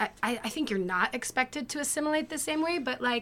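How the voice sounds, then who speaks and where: A woman with an American accent talks in a normal speaking voice at a moderate pace, her intonation lively. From United States. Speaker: podcast guest. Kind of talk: casual chat.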